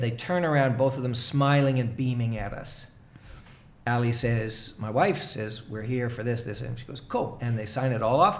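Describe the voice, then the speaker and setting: An American-accented man speaks at a fairly quick pace with an animated tone. His medium pitch shows ordinary variation, and audible room echo surrounds him. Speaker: leadership coach. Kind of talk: casual chat. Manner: animated storytelling.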